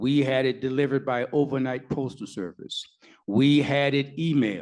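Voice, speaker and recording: Using an ordinary speaking voice, a man talks at a moderate pace with medium pitch. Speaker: lawyer and activist. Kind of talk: panel Q&A answer. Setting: live event with audience, mic.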